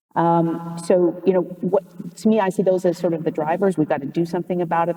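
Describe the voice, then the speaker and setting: Someone with a Canadian accent speaks at a very fast pace over noticeable background noise. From Canada. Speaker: antitrust lawyer, panelist. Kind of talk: panel discussion. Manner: halting, frequent fillers.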